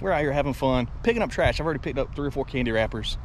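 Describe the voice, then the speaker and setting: The speech moves at a very fast pace. The sound is dry with no echo, under light background noise. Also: man. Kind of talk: casual vlog chat. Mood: annoyed, venting. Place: open country. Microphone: phone near.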